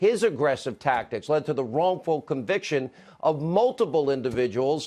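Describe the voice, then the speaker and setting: In an ordinary speaking voice, a man with an American accent talks at a moderate pace. His pitch is fairly high, and the background is quiet. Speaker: TV news host. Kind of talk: TV opinion monologue.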